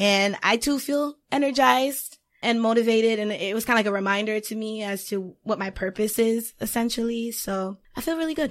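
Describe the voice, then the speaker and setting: A woman talks in an ordinary speaking voice at a fairly high pitch. Her pace is fairly quick, with ordinary pitch variation. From Haiti, then Boston area. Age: 20s. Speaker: public relations professional and writer. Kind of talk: casual chat.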